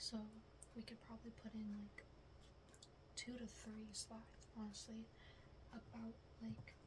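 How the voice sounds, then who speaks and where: A woman speaks softly and fairly slowly. Long pauses come often in her speech. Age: 20s. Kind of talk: ASMR roleplay, soft-spoken classmate project talk. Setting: quiet room with typing sounds. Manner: soft-spoken, casual, hesitant.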